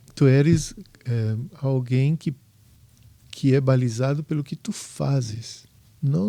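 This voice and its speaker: A man with a dark, mellow, somewhat breathy tone speaks very slowly at a medium pitch, with ordinary pitch variation and long, frequent pauses. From southern Brazil, Porto Alegre. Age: 60s. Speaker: home inspector, former architect. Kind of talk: podcast interview. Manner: halting.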